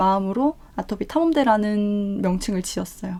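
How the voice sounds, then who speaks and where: A woman's voice at medium pitch carries a dark, mellow tone with ordinary pitch variation. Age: 30s. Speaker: YouTuber. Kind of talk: personal story monologue. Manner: fast.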